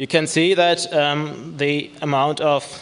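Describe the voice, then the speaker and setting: Fairly even intonation from a man. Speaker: conference presenter. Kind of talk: lecture. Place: hall. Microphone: podium.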